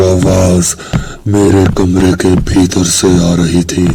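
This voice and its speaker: There is noticeable background noise as a man speaks in a very deep, low pitch. His intonation is monotone and flat, and his loudness stays very even. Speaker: horror story narrator. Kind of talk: horror story narration.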